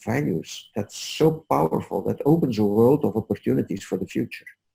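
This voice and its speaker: This man speaks with a Dutch accent at a moderate pace, in a fairly low pitch with vocal fry. His pitch swings very widely. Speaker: leadership coach. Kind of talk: webinar presentation. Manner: soft-spoken. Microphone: headset microphone, too quiet.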